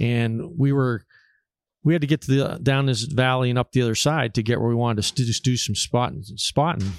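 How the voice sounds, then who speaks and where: Recorded with a dry, close sound and no echo, a man with an American accent talks fairly quickly in a plain, everyday voice at medium pitch, with ordinary pitch variation and very even loudness. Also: very clean recording, silent background. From Pennsylvania, Erie area. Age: 60s. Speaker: taxidermist and hunter. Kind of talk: casual chat. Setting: hunting camp.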